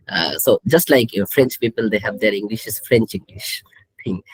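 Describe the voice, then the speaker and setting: A voice with a Bengali accent comes through in a dry, close sound with no echo. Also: man. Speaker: statistics professor. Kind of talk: live panel Q&A.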